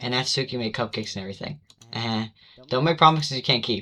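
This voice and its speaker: In a very clean recording with a silent background, a man speaks at medium pitch with ordinary pitch variation and a bright, sharp tone. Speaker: gaming youtuber. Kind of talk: reading aloud. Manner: fast; stuttering.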